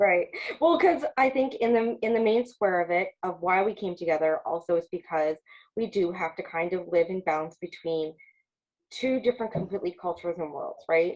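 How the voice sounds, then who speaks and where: A woman with an ordinary speaking voice in an American accent, medium pitch, moderate pace and lively intonation. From Long Island, New York. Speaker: podcast co-host. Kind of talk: casual chat.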